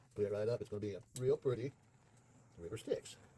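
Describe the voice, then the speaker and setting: There is some breathiness in this voice. Its tone is dark and mellow. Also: man. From Southern United States. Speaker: resin and clay artist. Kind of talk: casual craft tutorial narration.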